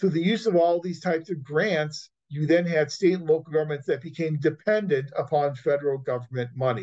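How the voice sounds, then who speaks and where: Against a quiet background, a man with a somewhat breathy voice talks at a fairly quick pace in a fairly high pitch. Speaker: university instructor. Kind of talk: lecture. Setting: video call. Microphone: video call.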